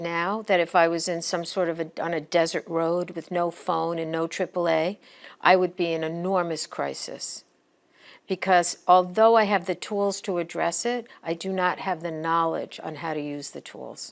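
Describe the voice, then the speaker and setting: A woman's fairly low, monotone voice at a moderate pace, flat in intonation, in a very clean recording with a silent background. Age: 60s. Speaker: professor and program director. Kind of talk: recorded presentation. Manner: conversational.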